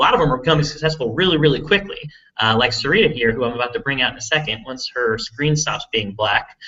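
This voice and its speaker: A man with an urban Texas accent, fairly high-pitched, talking at a very fast pace. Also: lively intonation. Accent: Texas big-city. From Texas, big city. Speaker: online marketing entrepreneur. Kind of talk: live webinar presentation. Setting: live video hangout stream. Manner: casual, filler-heavy with repetitions.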